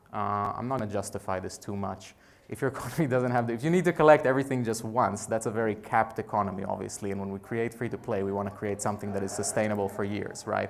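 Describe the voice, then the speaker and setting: Over noticeable background noise, a man talks at a very fast pace with hardly any pauses, his fairly low pitch showing ordinary variation. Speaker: game designer giving a conference talk. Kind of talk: conference talk.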